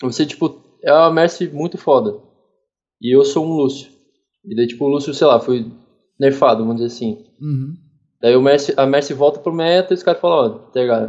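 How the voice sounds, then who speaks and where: Long, frequent pauses break up a man's fairly quick speech. His pitch is fairly high, with ordinary pitch variation. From Curitiba, southern Brazil. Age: 20s. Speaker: professional esports player. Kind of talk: casual interview.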